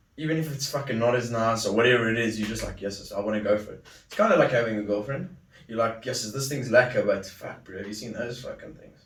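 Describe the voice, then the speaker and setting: Amid noticeable background noise and audible room echo, a man at medium pitch speaks at a very fast pace with big swings in loudness. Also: ordinary pitch variation. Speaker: podcast host. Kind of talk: casual chat.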